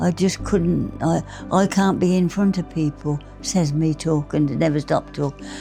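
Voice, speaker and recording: A woman's very deep, low voice at a moderate pace, with ordinary pitch variation and music in the background. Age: 80s+. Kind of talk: interview answer. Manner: quiet, conversational.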